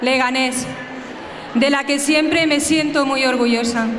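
A woman with a high voice speaks at a moderate pace in a flat, monotone way, with audible room echo and light background noise. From Spain. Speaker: football club president. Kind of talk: festival opening speech. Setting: outdoors, PA system. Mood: proud, emotional. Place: street. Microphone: podium.

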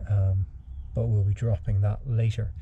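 With light background noise behind him, a man talks in a normal speaking voice, fairly low in pitch, with fairly even intonation. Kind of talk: tutorial. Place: garage. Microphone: phone near.

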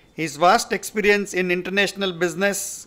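A man speaks in a bright, sharp tone with fairly even intonation. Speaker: event host introducing speaker. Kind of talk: formal speaker introduction. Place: hall. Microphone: podium.

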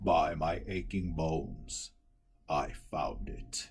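In a put-on character voice, a man speaks at a very deep, low pitch with a weary tone. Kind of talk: fantasy journal monologue. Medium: read story. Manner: grave, weary, formal.

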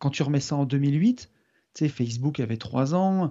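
The intonation is lively. The background is quiet. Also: man. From France, Loire near Saint-Étienne. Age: 40s. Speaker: property developer and investor. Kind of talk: interview. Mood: relaxed, rueful anecdote. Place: home room. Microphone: studio mic.

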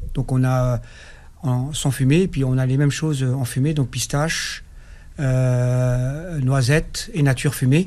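A man talks fairly slowly, his pitch shifting in an ordinary way. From Algeria (Kabylie); Algeria. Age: 50s. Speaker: farmer and livestock breeder; radio guest. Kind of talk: radio interview. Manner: hesitant, many fillers. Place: studio. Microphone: studio mic.

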